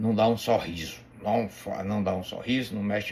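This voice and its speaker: Over noticeable background noise, a man talks at a fairly slow pace in a fairly low voice. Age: 60s. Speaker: bible teacher. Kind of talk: religious teaching talk. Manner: halting, many repetitions and fillers; playful.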